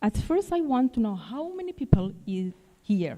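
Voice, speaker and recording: At a fairly slow pace, a somewhat breathy voice with a dark, mellow tone moves through very wide pitch swings. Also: woman. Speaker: professor. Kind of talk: conference presentation. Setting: stage with audience. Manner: halting.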